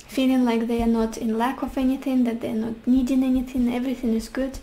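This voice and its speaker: Over noticeable background noise, a woman with a Russian accent talks at a moderate pace in a high, flat, monotone voice. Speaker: tarot reader. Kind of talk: tarot reading.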